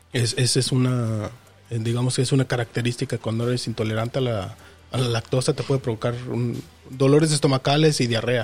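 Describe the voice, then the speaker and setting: A somewhat breathy man speaks fairly quickly at a medium pitch, his intonation fairly even. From Mexico. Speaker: podcast co-host. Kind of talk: casual chat.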